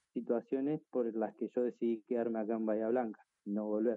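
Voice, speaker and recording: Flat, monotone intonation in a man's medium-pitched voice. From Argentina, northern Patagonia (Río Negro). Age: 20s. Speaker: student athlete. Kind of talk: interview testimony.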